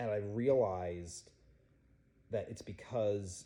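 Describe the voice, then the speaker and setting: A man talks very slowly in a fairly low, somewhat breathy voice with a dark, mellow tone and fairly even intonation. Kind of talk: personal testimony.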